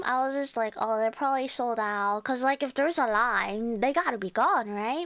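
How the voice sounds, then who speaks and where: A woman is speaking. She has a Cantonese accent. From Chinese background. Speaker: VTuber streamer. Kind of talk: casual chat. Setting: live stream. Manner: animated.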